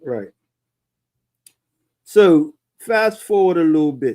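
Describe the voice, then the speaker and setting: A man with a Bermudian accent has a dark, mellow tone. His intonation is lively. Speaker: talk show host. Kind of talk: casual interview.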